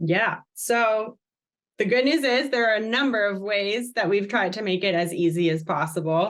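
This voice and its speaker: Speaking with an American accent, a woman with an unremarkable speaking voice and medium pitch keeps a moderate pace, very even loudness and lively intonation. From Massachusetts, US. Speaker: company social impact staff. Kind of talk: podcast interview.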